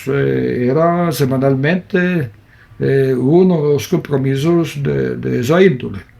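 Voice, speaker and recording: A man speaks at a very slow pace. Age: 70s. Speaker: photographer. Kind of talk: interview.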